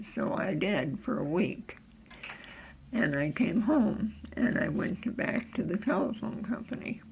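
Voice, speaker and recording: Against noticeable background noise, a woman with an American accent talks at a fairly slow pace in a fairly high pitch, her intonation lively. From upstate New York (Cooperstown). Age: 80s+. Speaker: interviewee, local elder. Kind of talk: oral history interview. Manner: halting, with fillers.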